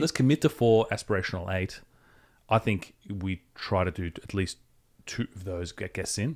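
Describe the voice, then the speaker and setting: In an unremarkable speaking voice, a man talks at a moderate pace with fairly low pitch, ordinary pitch variation and big swings in loudness, recorded with a dry, close sound and no echo. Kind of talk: casual podcast conversation.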